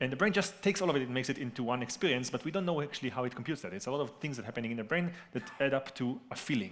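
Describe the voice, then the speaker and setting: Racing along at a very fast pace with hardly any pauses, a man speaks at a medium pitch with lively intonation. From Israel. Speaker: neuroscientist panelist. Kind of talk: panel discussion.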